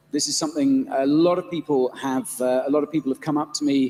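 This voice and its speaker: With noticeable background noise but a dry, close sound and no echo, a man speaks at a fairly high pitch with ordinary pitch variation. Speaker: panel moderator. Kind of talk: live panel discussion. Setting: stage with audience.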